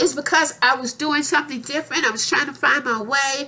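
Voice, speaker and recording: Her voice raised and projected, a woman speaks at a high pitch with ordinary pitch variation and a moderate pace. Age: 60s. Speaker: YouTuber. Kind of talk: casual vlog monologue. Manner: repetitive, halting.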